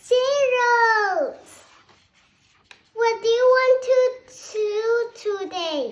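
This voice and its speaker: This put-on character voice is squeaky and extremely high in pitch, moving at a very slow pace with long, frequent pauses. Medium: read story. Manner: cheerful, easygoing.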